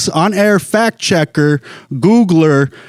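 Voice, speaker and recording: This man has a high voice and an American accent, with ordinary pitch variation. The sound is dry and close, with no echo. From Los Angeles. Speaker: stand-up comedian. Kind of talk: casual podcast talk.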